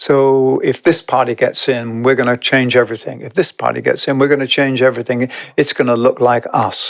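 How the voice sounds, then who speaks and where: A man with a British accent, medium pitch, fairly even intonation and a moderate pace. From England. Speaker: podcast guest, spiritual teacher. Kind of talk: podcast conversation. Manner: reflective, with hesitations.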